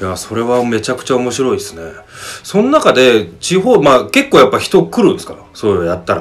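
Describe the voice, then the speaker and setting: The speaker is a man going at a fairly quick pace. Big swings in loudness run through his speech. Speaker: radio host. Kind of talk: casual interview chat.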